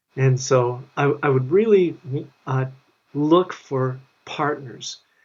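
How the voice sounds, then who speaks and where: A man with an American accent sounds somewhat breathy and fairly high in pitch. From US Midwest, Minneapolis, Minnesota. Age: 60s. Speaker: tech founder. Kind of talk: interview. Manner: hesitant, many fillers.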